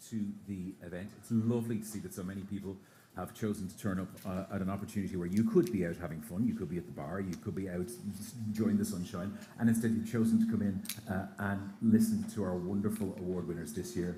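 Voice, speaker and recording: A fairly low-pitched man with an Irish accent, very fast pace, somewhat breathy delivery and dark, mellow tone, with audible room echo. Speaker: radio broadcaster, interviewer. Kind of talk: live on-stage interview. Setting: stage with audience at outdoor festival.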